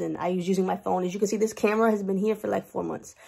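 The pace is very fast. A woman speaks against a quiet background. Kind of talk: casual vlog chat. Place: office. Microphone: webcam.

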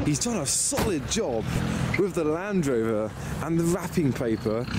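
Music plays in the background as a man talks at a moderate pace, his voice dry with no echo. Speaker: car vlogger. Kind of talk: casual vlog commentary. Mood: cheerful, amused. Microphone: phone near.

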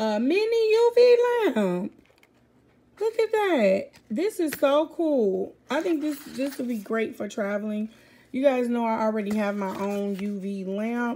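A woman's high voice rises and falls with lively intonation over light background noise. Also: fairly slow pace. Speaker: vlogger. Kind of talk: casual vlog chat. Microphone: phone near.

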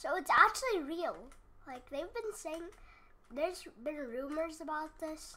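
At a very slow pace, a woman with an extremely high pitch speaks in a raised, projected voice with a bright, sharp tone and lively intonation. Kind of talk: casual gameplay commentary.

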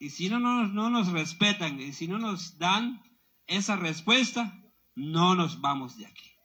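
In a raised, projected voice, a man speaks at a very slow pace with a high pitch, a bright, sharp tone, lively intonation and big swings in loudness. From Guatemala. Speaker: protest emcee. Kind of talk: protest speech. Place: tent. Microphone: handheld.

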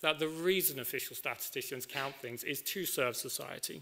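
Vocal fry colors a bright, sharp tone delivered at a moderate pace with ordinary pitch variation. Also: man.

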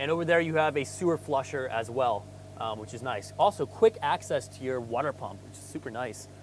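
A man talks at a moderate pace, with light background noise. The sound is dry, without echo. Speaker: RV salesperson. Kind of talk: casual walkaround tutorial. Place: street.

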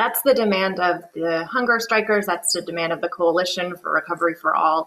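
Her delivery has ordinary pitch variation, and this woman keeps a moderate pace. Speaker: immigrant rights advocate. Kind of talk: interview. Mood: earnest, urgent. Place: home room. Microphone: video call.

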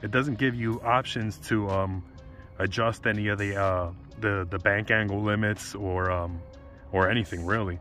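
This man's fairly low voice keeps a fairly even intonation, the sound dry with no echo and faint music in the background. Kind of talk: casual vlog chat. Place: street.

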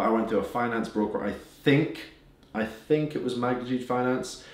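Fairly even male intonation amid audible room echo. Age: 20s. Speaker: business owner giving finance advice; finance YouTuber. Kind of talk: casual, occasional swearing. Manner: fast talker. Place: home room.

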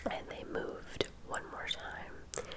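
A soft-spoken woman at a very slow pace amid loud background noise. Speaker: true crime storyteller. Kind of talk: casual vlog narration. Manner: soft, hushed ASMR storytelling voice. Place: home room. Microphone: studio mic.

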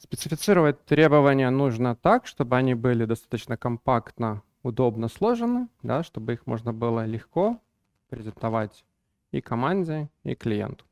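Lively intonation runs through a plain, everyday voice. The sound is dry with no echo, and the background is quiet. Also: man. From Belarus, Minsk; Belarus. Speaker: business analysis lead and trainer; trainer. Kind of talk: conference talk. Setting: stage with audience. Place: hall. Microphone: headset.

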